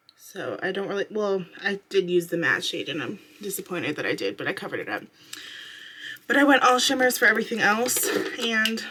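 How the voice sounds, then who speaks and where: A quiet woman at a fairly quick pace, ordinary pitch variation, with noticeable background noise. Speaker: beauty vlogger. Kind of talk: makeup tutorial. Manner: casual, filler-heavy.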